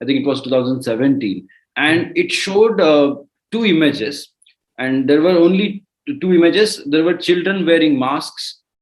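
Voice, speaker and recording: The intonation is lively, with a Marathi accent. The pace is moderate. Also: man, fairly high pitch for a man. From India (Maharashtra). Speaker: entrepreneur. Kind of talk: interview. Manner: halting.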